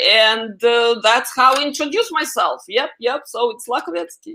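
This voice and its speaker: A woman with a Russian accent speaks at a high pitch and moderate pace, with hardly any pauses. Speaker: AI expert guest. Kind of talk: interview.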